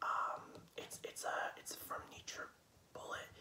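Soft-spoken and whispering, a man talks amid light background noise and audible room echo. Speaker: home food vlogger. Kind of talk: casual vlog chat. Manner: soft whispered ASMR talk. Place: home room. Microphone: phone near.

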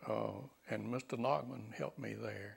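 A man with an Alabama accent talks at a very slow pace. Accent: Southern US (Alabama). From US South, Alabama. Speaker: retired bankruptcy judge. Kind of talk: elder life story, 2005 oral history interview recalling courtroom days. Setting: interview in his home. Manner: halting, with repeated words and filler uhs; unhurried, genial storytelling with chuckles. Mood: warm, amused. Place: home room. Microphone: lapel.

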